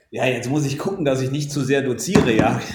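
A man is speaking. His pitch is fairly high. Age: 50s. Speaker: insurance IT technologist and podcast co-host. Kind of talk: casual chat. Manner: talkative, lecturing.

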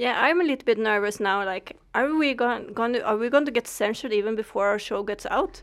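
A woman with a Swedish accent, fairly high pitch, lively intonation and a fairly quick pace, on a very clean recording with a silent background. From Sweden. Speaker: podcast co-host. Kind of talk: casual chat.

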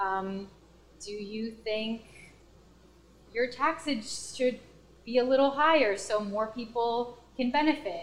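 Against noticeable background noise, a woman with a Spanish accent speaks at a very slow pace with long, frequent pauses, fairly high pitch and ordinary pitch variation. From US, Washington DC and Pennsylvania. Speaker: guest, former grad school roommate. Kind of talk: casual chat.

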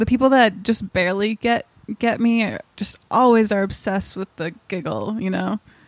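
A woman at a moderate pace and medium pitch speaks with fairly even intonation in a dry, close sound with no echo. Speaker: comedian. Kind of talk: casual chat.

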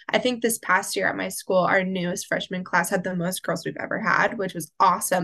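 Speaking with an American accent at a moderate pace, the voice has a bright, sharp tone and ordinary pitch variation. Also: woman. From Oklahoma. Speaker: media arts student. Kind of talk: casual chat.

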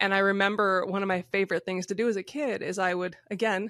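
A woman's normal speaking voice at a medium pitch and fairly quick pace, with fairly even intonation, a dry, close sound with no echo and a quiet background. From rural Michigan. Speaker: country musician. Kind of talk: interview.

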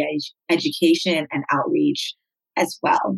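A woman with an American accent speaks with ordinary pitch variation in a dry, close sound with no echo. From Southern California (Cerritos, LA/Orange County border). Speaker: nonprofit executive director, gender-violence advocate. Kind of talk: interview.

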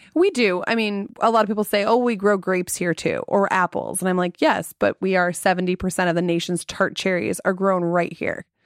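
A normal speaking voice moves at a fairly quick pace with hardly any pauses, fairly even intonation and very even loudness. The recording is very clean with a silent background and a dry, close sound with no echo. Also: woman, medium pitch for a woman. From Traverse City, Michigan. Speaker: festival organization CEO. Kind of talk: interview.

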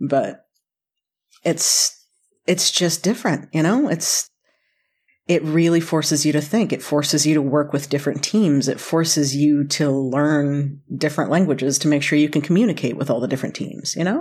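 With an American accent, a woman speaks at a moderate pace in a very deep, low pitch, her loudness very even and her pitch varying in an ordinary way. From US South, North Carolina. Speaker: chef. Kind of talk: casual chat.

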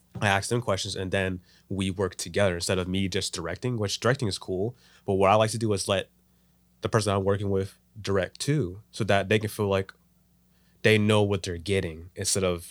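A very fast-talking man with a very deep, low pitch and fairly even intonation, in a very clean recording with a silent background. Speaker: filmmaker. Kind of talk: casual chat. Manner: casual, talkative.

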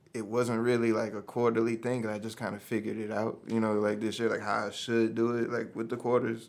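A man with an American accent talks at a very fast pace with hardly any pauses. His pitch is medium and his intonation is monotone and flat. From New Orleans, then Texas from 17. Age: 30s. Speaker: rapper. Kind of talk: casual chat. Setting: studio.

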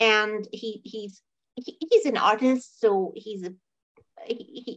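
A woman speaks in a plain, everyday voice. It sits fairly high and has ordinary pitch variation. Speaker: podcast co-host. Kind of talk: casual chat, movie review podcast. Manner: casual, rambling, repeats words.

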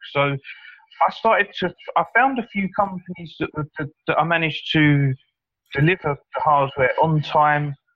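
Here is a man with an unremarkable speaking voice and a fairly high pitch. He talks at a fairly slow pace with ordinary pitch variation. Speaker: mining hardware seller. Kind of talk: casual chat.

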